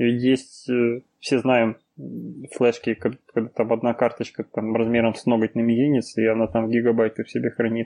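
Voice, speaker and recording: The delivery holds a flat monotone at a moderate pace. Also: man, medium pitch for a man. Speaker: podcast host. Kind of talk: casual chat. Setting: online livestream.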